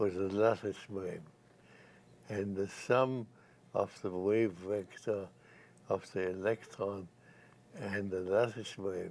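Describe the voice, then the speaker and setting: This man speaks at a very slow pace. His intonation is monotone and flat. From Germany. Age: 80s+. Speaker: nuclear physicist. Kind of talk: interview answer.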